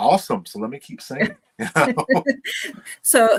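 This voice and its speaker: Speaking at a very slow pace, a man with a Tennessee accent swings his pitch very widely. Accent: deep Southern, Tennessee. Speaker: singer and voice performer; interviewee.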